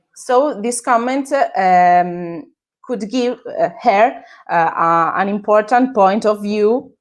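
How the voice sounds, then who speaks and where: In an Italian accent, a woman with a fairly high pitch and lively intonation speaks at a very slow pace. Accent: Italian accent, self-described as terrible. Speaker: social media manager. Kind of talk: interview. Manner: halting, many fillers.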